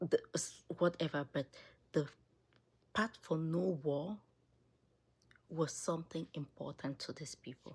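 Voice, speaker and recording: The speaker has an African accent and a fairly slow pace. Long, frequent pauses break up the speech. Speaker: political commentary video creator. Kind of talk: opinion monologue. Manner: animated.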